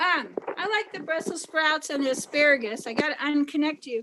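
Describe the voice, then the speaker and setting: Her voice is raised and projected, high in pitch, with lively intonation. The woman keeps a moderate pace. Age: 60s. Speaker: teacher. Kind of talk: cooking demonstration over video call.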